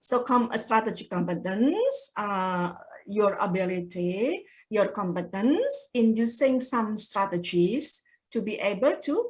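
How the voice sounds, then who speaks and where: Her voice moves through very wide pitch swings. The woman speaks with a Javanese accent. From Java, Indonesia. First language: Javanese (speaking Indonesian). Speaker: guest lecturer. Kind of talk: lecture. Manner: mixes English and Indonesian.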